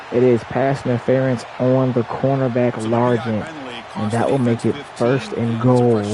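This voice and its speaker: A woman talks at a fairly slow pace with a very deep, low pitch. Noticeable background noise runs underneath. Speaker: gaming streamer. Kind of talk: live commentary. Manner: whispering; animated.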